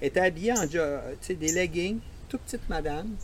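A man talks in a fairly high voice. He has a Quebec accent. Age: 60s. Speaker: veteran runner. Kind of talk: casual interview. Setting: outdoors in host's yard.

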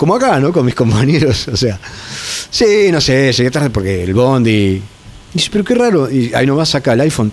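Noticeable background noise behind a man with an Argentine accent, fairly quick in pace, his pitch making very wide swings. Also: medium pitch for a man, very even loudness. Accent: Rioplatense Argentine Spanish. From Argentina, Entre Ríos islands and Zárate. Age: 40s. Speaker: metal guitarist. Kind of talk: casual chat. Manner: halting, frequent repetitions.

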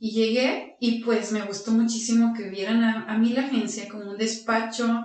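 Speaking at a moderate pace with hardly any pauses, a woman uses a fairly high, flat monotone, with audible room echo in the recording. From Mexico, Aguascalientes. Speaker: lawyer and agency founder. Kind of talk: interview.

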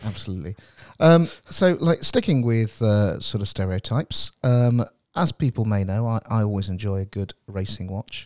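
At a moderate pace, a man with a plain, everyday voice and fairly low pitch speaks in a dry, close sound with no echo on a very clean recording with a silent background. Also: lively intonation. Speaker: podcast host. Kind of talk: casual chat. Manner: jokey, light-hearted.

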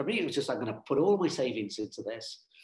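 A man's somewhat breathy voice. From Ireland/UK. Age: 50s. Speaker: nonprofit founder. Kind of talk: interview.

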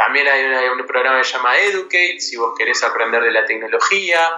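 A man speaks with noticeable background noise. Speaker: tech company CEO and university lecturer. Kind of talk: interview. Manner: halting, frequent repetitions.

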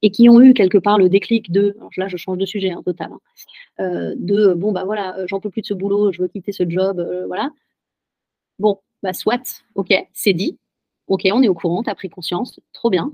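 Pausing long and often, a woman speaks at a moderate pace in a medium pitch with fairly even intonation. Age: 30s. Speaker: writing coach and author. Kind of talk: testimony. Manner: halting.

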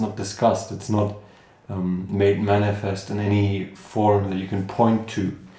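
A man with a German accent talks in a dark, mellow, somewhat breathy tone, and audible room echo surrounds his voice. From Germany, Cologne. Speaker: host's brother. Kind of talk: casual discussion. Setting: home living room.

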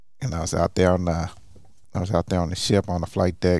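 A man with an American accent, very deep and low in pitch, dark and mellow in tone, monotone and flat, on a very clean recording with a silent background. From Oklahoma, Tulsa. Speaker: hospital chaplain. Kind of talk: casual interview.

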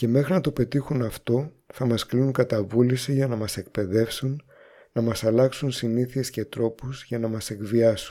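On a very clean recording with a silent background, a man speaks fairly slowly at medium pitch, with a dark, mellow tone and fairly even intonation. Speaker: radio host. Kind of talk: scripted narration.

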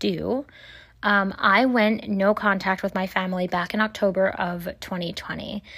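In a very clean recording against a silent background, the words come at a moderate speed. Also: woman. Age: 20s. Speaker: podcast host. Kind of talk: casual monologue. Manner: animated.

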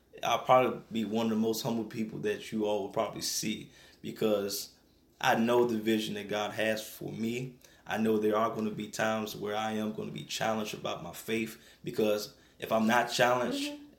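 A man with an American accent uses a normal speaking voice at a medium pitch, talking at a fairly quick pace with fairly even intonation. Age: 20s. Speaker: evangelist and nonprofit ministry founder. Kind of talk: radio interview testimony. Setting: radio studio.

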